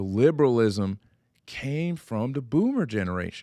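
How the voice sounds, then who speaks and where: With lively intonation and an animated tone, the speech moves at a moderate pace on a very clean recording with a silent background. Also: man. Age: 40s. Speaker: political podcast co-host. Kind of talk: casual political discussion.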